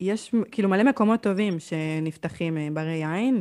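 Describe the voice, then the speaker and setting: With ordinary pitch variation, a woman's voice has a dark, mellow tone. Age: 20s. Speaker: podcast host. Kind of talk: interview. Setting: video call.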